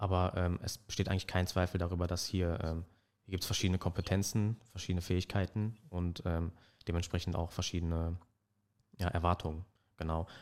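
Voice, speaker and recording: A man with a very deep, low pitch speaks in a monotone, flat intonation with long, frequent pauses. The recording is very clean and the background silent. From Germany, Ruhr area (Dortmund). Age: 20s. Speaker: history and German studies student. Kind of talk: casual academic chat. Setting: studio.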